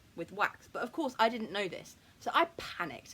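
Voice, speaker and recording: The voice is animated, with a bright, sharp tone and very wide pitch swings. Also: woman. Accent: southern English. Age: 20s. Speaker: vlogger. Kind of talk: personal story vlog. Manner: fast.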